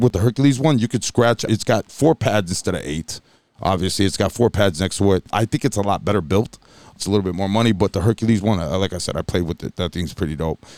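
Talking at a very fast pace, a man uses a fairly low pitch with ordinary pitch variation, the sound dry and close with no echo. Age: 40s. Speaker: DJ and podcast co-host. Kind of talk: casual chat.

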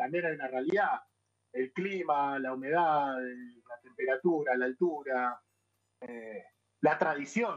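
Speaking at a fairly slow pace, this man has a fairly high pitch with ordinary pitch variation and a plain, everyday voice. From Argentina, Buenos Aires (Banfield). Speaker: chef. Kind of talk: casual chat.

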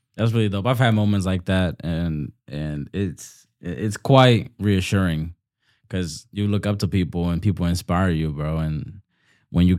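On a very clean recording with a silent background, a man with a Bronx accent speaks at a moderate pace in a very deep, low voice with a dark, mellow tone and ordinary pitch variation. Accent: New York, Bronx. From New York, the Bronx. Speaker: podcast host. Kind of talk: casual chat.

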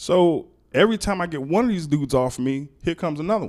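A man speaks with an American accent at a fairly high pitch. His pitch swings very widely. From Miami, Florida (Liberty City). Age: 40s. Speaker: podcast guest. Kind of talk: casual chat.

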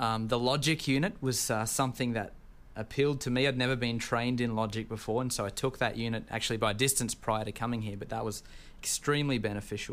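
Very fast and fairly even in intonation, a man with a medium pitch talks with an Australian accent. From Tasmania, Australia. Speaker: seminary student. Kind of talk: casual interview.

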